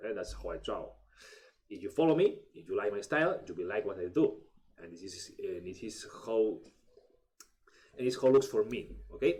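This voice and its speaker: A man with a Spanish accent speaks at a moderate pace, with long, frequent pauses and big swings in loudness. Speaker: artist and illustrator. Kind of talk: tutorial. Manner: halting, many fillers and restarts.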